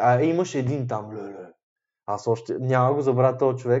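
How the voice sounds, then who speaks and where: A man speaks at a fairly slow pace. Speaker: podcast co-host. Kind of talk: casual chat.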